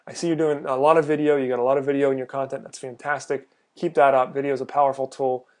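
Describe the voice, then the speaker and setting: Over a quiet background, a man talks at a very fast pace in a fairly high voice. His intonation stays fairly even. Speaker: freelance website reviewer. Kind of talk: screen-recorded website review. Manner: hesitant, many fillers.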